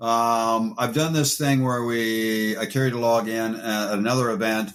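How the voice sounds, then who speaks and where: A man's ordinary speaking voice at medium pitch and a moderate pace. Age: 60s. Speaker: actor and former wrestler. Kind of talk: interview. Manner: casual, conversational.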